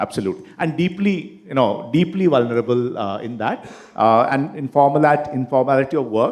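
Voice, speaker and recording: At a fairly quick pace, a man speaks in a fairly high pitch with lively intonation. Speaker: panel moderator. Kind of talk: panel discussion. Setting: stage with audience. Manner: halting.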